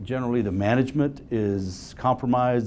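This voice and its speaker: At a moderate pace, a man speaks in a plain, everyday voice. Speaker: real estate investment presenter. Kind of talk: investor seminar presentation. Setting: live-streamed meeting with audience.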